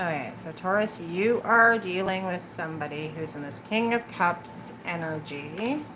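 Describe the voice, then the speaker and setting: Amid audible room echo and noticeable background noise, a woman with a fairly low pitch speaks at a fairly slow pace with hardly any pauses and lively intonation. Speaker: tarot reader. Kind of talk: live tarot reading. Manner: mumbling.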